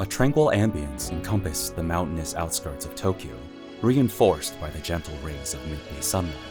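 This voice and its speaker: With music in the background, a man with a very deep, low voice speaks fairly quickly and with lively intonation. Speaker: audiobook narrator. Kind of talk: audiobook narration.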